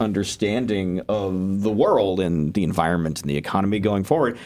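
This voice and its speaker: A man speaks at a fairly quick pace. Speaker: graduate student liaison to student senate. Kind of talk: casual discussion.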